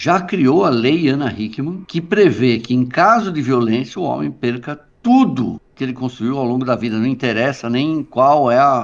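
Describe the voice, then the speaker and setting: A man with an ordinary speaking voice at a medium pitch, lively intonation, a fairly slow pace, and a quiet background. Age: 60s. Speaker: journalist. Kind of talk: interview conversation.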